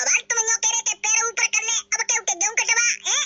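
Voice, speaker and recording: In a squeaky, cartoonish character voice, a woman speaks at an extremely high pitch and a very fast pace, with monotone, flat intonation and very even loudness. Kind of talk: cartoon comedy voice. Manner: whiny, rustic.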